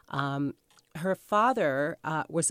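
The voice has an American accent and lively intonation. The recording is very clean, with a silent background and a dry, close sound with no echo. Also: woman. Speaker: author. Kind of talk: radio interview.

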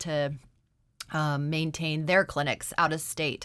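In an Alaskan accent, a woman talks with a fairly low pitch and a bright, sharp tone. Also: very clean recording, silent background. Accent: American (Alaskan). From Alaska, Anchorage. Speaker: nurse practitioner. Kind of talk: radio interview. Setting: radio studio.

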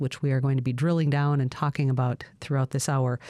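A woman speaks with a dark, mellow tone. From Alaska. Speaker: radio host. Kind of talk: radio talk show. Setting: studio.

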